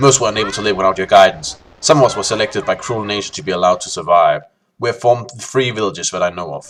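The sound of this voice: The background stays quiet. Lively intonation runs through an unforced reading voice.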